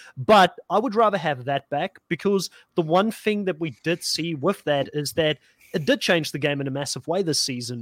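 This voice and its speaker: A man talks with a high pitch. The sound is dry and close, with no echo. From South Africa. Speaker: reality TV podcast host. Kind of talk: casual group discussion.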